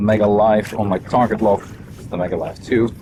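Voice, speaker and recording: With noticeable background noise behind him, a man talks at a moderate pace in a fairly low pitch with fairly even intonation. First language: not English. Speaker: fishing guide and video creator. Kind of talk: on-the-water vlog tutorial. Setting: outdoors on a boat on a lake. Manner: casual, conversational.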